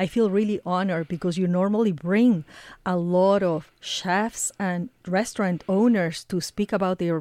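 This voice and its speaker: A woman with a Spanish accent, medium pitch, a dark, mellow tone and fairly even intonation, in a dry, close sound with no echo. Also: very clean recording, silent background. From Ecuador. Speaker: radio reporter and producer. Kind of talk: casual chat. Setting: studio.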